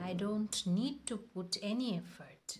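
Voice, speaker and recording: A woman talks at a moderate pace with a fairly high pitch. Her voice is somewhat breathy. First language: Bengali. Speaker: English-speaking coach. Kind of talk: tutorial.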